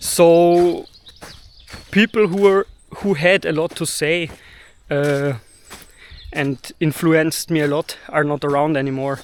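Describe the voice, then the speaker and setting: A man with a German accent speaks at a fairly slow pace, leaving long, frequent pauses. His voice is fairly high, with ordinary pitch variation. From Austria, Vienna. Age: 30s. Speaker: video blogger. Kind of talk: personal monologue. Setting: recording to camera. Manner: halting, pauses to find words.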